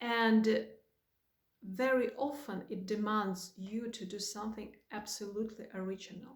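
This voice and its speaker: A woman with a Russian accent, fairly high pitch and fairly even intonation, at a fairly slow pace. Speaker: spiritual guide. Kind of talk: spiritual talk to camera.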